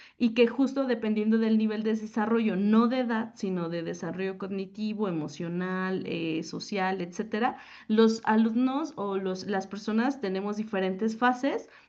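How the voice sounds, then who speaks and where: A woman with an unremarkable speaking voice talks at a moderate pace, with hardly any pauses and ordinary pitch variation. Her pitch is fairly high, and the background is quiet. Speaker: teacher. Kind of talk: conference talk. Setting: panel at a forum.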